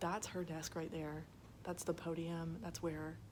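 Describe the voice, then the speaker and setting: Quiet and somewhat breathy, a woman talks at a fairly slow pace in a fairly low voice, with audible room echo. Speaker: student teacher vlogger. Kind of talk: casual vlog tour. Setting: classroom. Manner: quiet, hushed.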